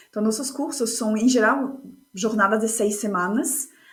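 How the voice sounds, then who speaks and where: With music in the background and audible room echo, a woman speaks at a high pitch with ordinary pitch variation. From France. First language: French (speaking Portuguese). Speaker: course facilitator and speaker. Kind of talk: podcast interview.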